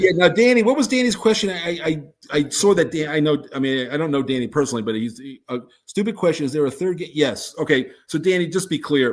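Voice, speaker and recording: Very fast speech comes from a man with a fairly high pitch. His intonation is lively. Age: 70s. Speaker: board game designer. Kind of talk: casual chat. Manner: halting.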